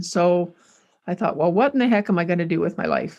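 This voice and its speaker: Her pitch medium, a woman speaks with a western Canadian accent. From Canada, Alberta. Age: 60s. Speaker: rancher and home cook. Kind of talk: casual storytelling. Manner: halting, with fillers.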